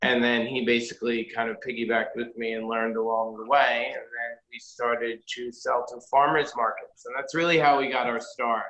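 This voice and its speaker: A man with a New York accent, medium-pitched and flat in a monotone, talking at a fairly quick clip with hardly any pauses. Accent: New York area. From New Jersey, Jersey City. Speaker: chocolatier and shop owner. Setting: video call.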